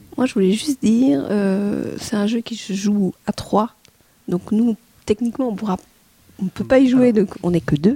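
Somewhat breathy and dark, mellow in tone, a woman speaks at a medium pitch with ordinary variation and long, frequent pauses, in a dry, close sound with no echo. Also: moderate pace. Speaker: board game reviewer. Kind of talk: casual chat.

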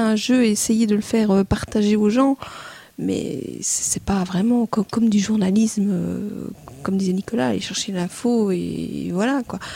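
At a fairly slow pace, a woman with an ordinary speaking voice talks at a fairly high pitch with ordinary pitch variation. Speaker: board game reviewer. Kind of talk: casual chat.

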